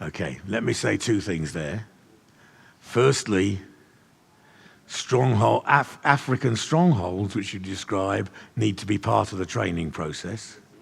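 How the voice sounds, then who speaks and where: Long, frequent pauses break up a man's fairly slow speech. His fairly low voice carries vocal fry and lively intonation. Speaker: church leader and trainer of leaders. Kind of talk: teaching session with audience questions.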